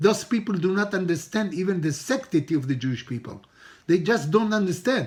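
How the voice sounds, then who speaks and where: This man's voice is high in pitch. His intonation is lively. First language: Hebrew. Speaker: rabbi teaching a Torah class. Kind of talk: religious lecture.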